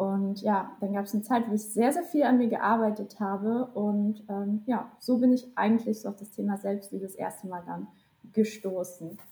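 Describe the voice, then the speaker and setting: At a moderate pace, a woman talks with medium pitch, fairly even intonation and a somewhat breathy voice. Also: big swings in loudness. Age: 20s. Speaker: social media content creator and student. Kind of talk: casual interview chat. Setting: video call.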